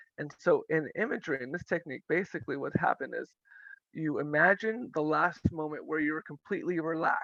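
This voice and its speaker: The speaker moves at a fairly quick pace. The background stays quiet. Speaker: therapist and professor. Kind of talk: webinar presentation. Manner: fast.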